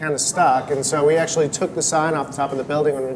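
Over noticeable background noise, a man talks at a very fast pace with monotone, flat intonation. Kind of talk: interview answer. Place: cafe. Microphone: lapel.

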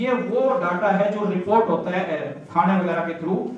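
A man's voice rings with strong room echo over light background noise. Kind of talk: formal speech. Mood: earnest road safety appeal. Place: hall.

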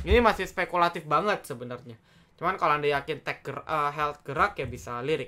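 At a very fast pace, a man speaks in a fairly high pitch. His pitch varies in an ordinary way. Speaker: stock trading channel host. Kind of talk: market morning briefing. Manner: fast, casual, filler-heavy.

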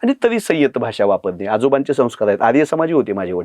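A man speaks with very wide pitch swings. The sound is dry and close with no echo, and the background is quiet. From Marathwada, Dharashiv district, Maharashtra. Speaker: political party spokesperson. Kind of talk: podcast interview. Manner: impassioned.

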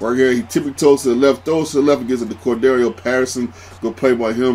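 A man's animated, excited, very fast delivery at a medium pitch, over noticeable background noise. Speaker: gaming YouTuber. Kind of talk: live sports commentary over video game play, play-by-play narration. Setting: recorded voiceover for gameplay video. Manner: animated, rapid play-by-play patter with excited exclamations; casual, filler-heavy, repeats 'man'.

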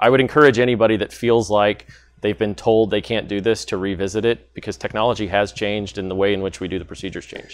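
At a very fast pace, a man talks at a fairly low pitch with fairly even intonation. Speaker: guest. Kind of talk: interview answer. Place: studio. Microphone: lapel.

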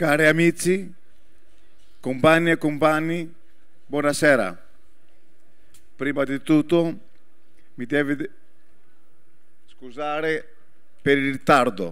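A man with a Greek accent speaks at a very slow pace with long, frequent pauses. His fairly high pitch shows ordinary variation over a quiet background. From Greece. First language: Greek (speaking Italian). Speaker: politician. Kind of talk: political speech. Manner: halting. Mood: earnest, solemn. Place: stage. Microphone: handheld.

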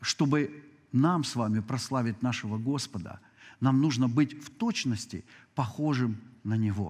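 Against a quiet background, a man speaks at a fairly slow pace with long, frequent pauses, big swings in loudness and ordinary pitch variation. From Ukraine. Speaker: pastor. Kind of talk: sermon. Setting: church. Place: church.

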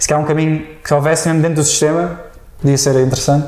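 Talking at a very fast pace, a man speaks with a European Portuguese accent. Audible room echo colors the recording. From Portugal. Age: 20s. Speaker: tech podcast guest; podcast guest. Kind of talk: casual chat. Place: home room. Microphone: lapel.

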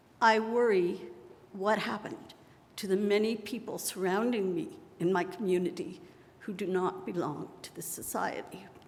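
A woman speaks at a moderate pace and medium pitch, with ordinary pitch variation. Her loudness swings widely, and there is audible room echo. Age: 70s. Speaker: local resident testifying. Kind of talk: testimony. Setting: public hearing room with audience. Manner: partly read from notes.

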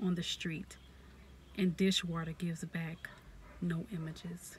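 Breathing somewhat into her words, a woman speaks fairly slowly in a fairly low, monotone voice with flat intonation, the sound dry with no echo and light background noise. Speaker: poetry reader, ASMR creator. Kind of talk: poetry reading. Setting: outdoors in a parked car, with background noise. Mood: warm, smiling. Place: car. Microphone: phone near.

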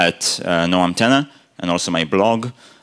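A man speaks at a fairly slow pace in a very deep, low voice. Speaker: conference speaker. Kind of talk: conference talk. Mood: humorous, friendly. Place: hall. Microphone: podium.

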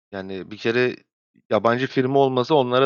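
Flat and monotone in intonation, a man's medium-pitched voice moves at a moderate pace. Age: 20s. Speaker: esports coach. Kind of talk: interview.

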